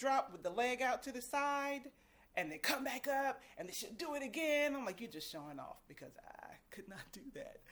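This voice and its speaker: A woman's voice with vocal fry and very wide pitch swings, at a moderate pace. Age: 50s. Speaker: vlogger. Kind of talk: casual chat.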